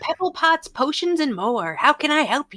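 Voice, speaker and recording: A woman speaks in a high, put-on character voice. Her pace is moderate. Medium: actual play. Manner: rambling, gossipy.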